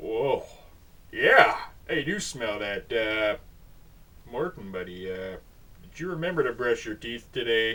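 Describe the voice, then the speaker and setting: A put-on character voice speaks at a fairly slow pace with long, frequent pauses over light background noise. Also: man, medium pitch for a man. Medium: read story. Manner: laid-back, drawling.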